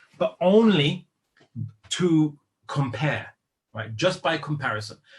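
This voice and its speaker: A man with a British accent talks in a fairly high, somewhat breathy voice with lively intonation. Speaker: Islamic lecturer. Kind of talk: lecture. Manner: hesitant, many fillers.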